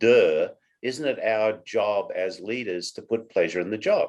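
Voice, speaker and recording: A fairly slow pace in an Australian accent. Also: man. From Australia, Sydney. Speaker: company CEO. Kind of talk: interview.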